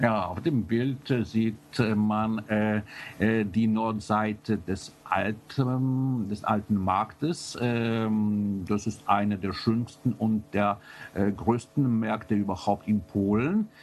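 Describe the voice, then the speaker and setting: With a Polish accent, a man speaks very slowly at a fairly low pitch, his intonation fairly even. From Poland. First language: Polish (speaking German). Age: 40s. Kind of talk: interview. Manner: halting, many filler sounds.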